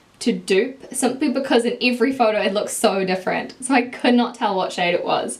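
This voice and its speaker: With a strong New Zealand accent, a woman speaks at a high pitch and a moderate pace, showing ordinary pitch variation. Noticeable background noise sits behind her. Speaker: beauty YouTuber. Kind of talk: makeup tutorial review. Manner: casual, chatty.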